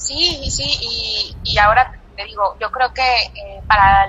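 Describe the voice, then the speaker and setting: A woman speaks with a Mexican accent. Her voice sits fairly high. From Mexico. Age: 20s. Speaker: engineer and entrepreneur. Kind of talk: interview. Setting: phone call. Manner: hesitant, many fillers. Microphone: telephone line.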